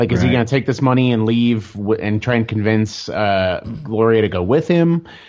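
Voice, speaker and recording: With noticeable background noise behind him, a man speaks at a moderate pace with hardly any pauses, his medium pitch showing ordinary variation. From US Midwest, Kansas City, Missouri. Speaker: storyboard and comic artist. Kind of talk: casual chat.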